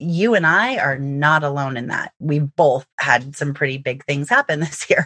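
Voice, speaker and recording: A woman with a very deep, low pitch speaks at a moderate pace with ordinary pitch variation. Her tone is bright and sharp, and the sound is dry and close with no echo. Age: 40s. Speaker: fraud prevention podcast host. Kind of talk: casual interview chat.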